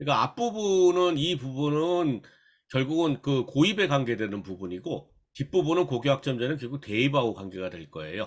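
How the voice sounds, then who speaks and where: A man at a fairly high pitch with very wide pitch swings. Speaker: school career counselor. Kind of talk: lecture. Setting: online remote lecture. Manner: fast.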